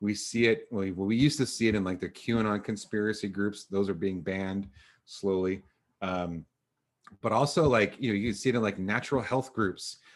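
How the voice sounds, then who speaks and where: A man speaks at a fairly low pitch. His pitch variation is ordinary. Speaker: educator giving a presentation on news literacy. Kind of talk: online presentation with Q&A. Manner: fast; halting, many fillers.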